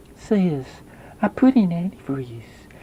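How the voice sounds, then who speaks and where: A put-on character voice at a middle pitch leaps through very wide pitch swings. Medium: read story. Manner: meek, hesitant.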